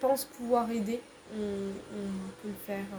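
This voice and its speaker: Over noticeable background noise, a woman with a fairly high pitch speaks very slowly in a monotone, flat delivery. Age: 20s. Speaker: civic service volunteer at an NGO. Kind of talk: casual interview.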